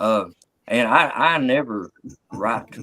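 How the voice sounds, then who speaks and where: This man has a Southern US accent and a medium pitch. His tone is bright and sharp, and the sound is dry and close with no echo. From US South (West Virginia and Tennessee). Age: 50s. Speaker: comedian. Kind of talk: casual chat on live comedy show.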